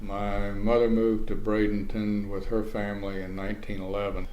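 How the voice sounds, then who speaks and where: With audible room echo, a man in an American accent speaks at a moderate pace. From Florida, Manatee County. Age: 70s. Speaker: oral history interviewee, retired journalist. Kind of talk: oral history interview.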